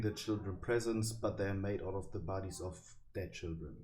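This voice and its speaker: A man's somewhat breathy voice with a dark, mellow tone and audible room echo. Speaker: youtuber explaining internet lore. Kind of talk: casual explainer monologue. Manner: hesitant, many fillers.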